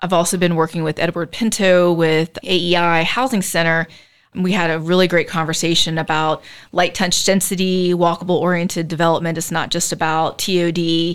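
The recording is very clean, with a silent background. A woman with an American accent speaks fairly quickly in a fairly low voice. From US South, Charleston, South Carolina. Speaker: city planning director. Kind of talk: interview. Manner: lively.

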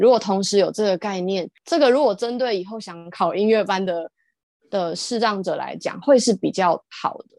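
Against a quiet background, a woman at medium pitch speaks in an unremarkable speaking voice at a moderate pace, with ordinary pitch variation and big swings in loudness. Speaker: visually impaired harpist and singer. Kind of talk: casual interview chat.

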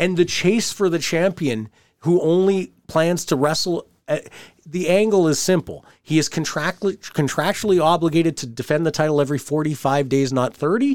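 This man has a high pitch and a Canadian accent, with ordinary pitch variation. The recording is very clean, with a silent background. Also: moderate pace. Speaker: wrestling podcast host, former wrestling producer. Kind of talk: casual chat.

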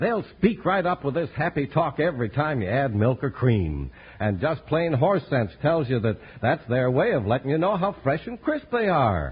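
At a moderate pace, a man with vocal fry speaks in a fairly high pitch with very wide pitch swings. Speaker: commercial announcer. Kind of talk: radio ad and announcer. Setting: old transcribed radio broadcast.

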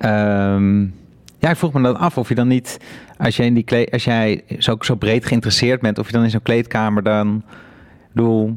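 A man's ordinary speaking voice at a moderate pace, with very even loudness, fairly even intonation, and a very clean recording over a silent background. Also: medium pitch for a man. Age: 30s. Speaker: podcast host. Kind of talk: interview about art and life. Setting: studio.

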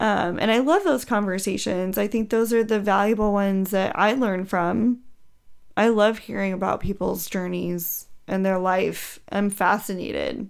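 Fairly even intonation carries a plain, everyday voice. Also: woman, medium pitch for a woman. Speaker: podcast host. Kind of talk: casual chat.

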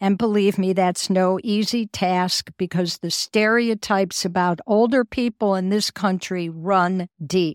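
A woman with a normal speaking voice talks at a medium pitch and a fairly slow pace, with fairly even intonation and hardly any pauses. The very clean recording has a silent background and a dry, close sound with no echo. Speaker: podcast host. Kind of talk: interview conversation.

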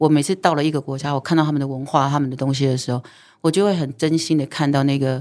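Very fast and very deep, a woman's low voice comes through in a very clean recording with a silent background. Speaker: singer and former TV host. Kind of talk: casual chat. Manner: animated.

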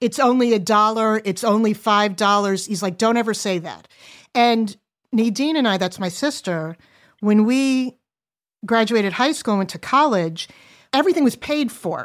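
In a very clean recording with a silent background, a woman with an ordinary speaking voice and an American accent talks at a moderate pace, her fairly high pitch carrying lively intonation. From US Northeast. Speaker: adult daughter sharing family money story. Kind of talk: casual chat.

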